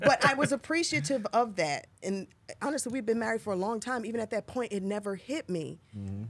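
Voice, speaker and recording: A woman speaks at a fairly quick pace in a fairly high pitch, her animated tone marked by very wide pitch swings. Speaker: podcast co-host. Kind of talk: casual chat. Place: studio. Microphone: studio mic.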